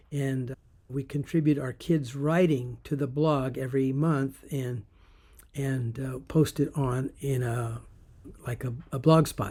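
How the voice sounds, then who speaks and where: A man's medium-pitched, dark, mellow, somewhat breathy voice, very slow, with fairly even intonation. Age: 70s. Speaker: affiliate marketer, former juvenile hall teacher. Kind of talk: casual talk to camera. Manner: hesitant, conversational.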